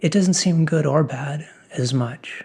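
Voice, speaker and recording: A man talks in a somewhat breathy voice at a fairly high pitch. His tone is calm, and his pace is very slow. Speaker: ASMR creator. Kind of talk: ASMR ramble, encouraging philosophical talk. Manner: slow, calm, reflective.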